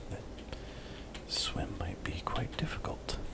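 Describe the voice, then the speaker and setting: The speaker whispers in a relaxed tone. Noticeable background noise sits behind the voice. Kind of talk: ASMR gameplay commentary. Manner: soft-spoken, relaxed.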